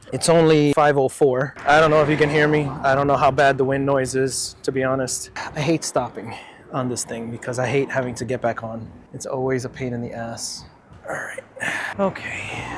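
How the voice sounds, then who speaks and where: Over noticeable background noise, a man talks at a moderate pace and a medium pitch with fairly even intonation. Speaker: outdoor vlogger. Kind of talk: casual vlog narration. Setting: outdoors riding an electric unicycle. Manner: loud.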